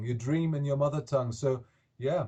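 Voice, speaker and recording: A man with a German accent, a dark, mellow tone, a somewhat breathy sound, and fairly even intonation. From Germany. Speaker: rock singer. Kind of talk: interview.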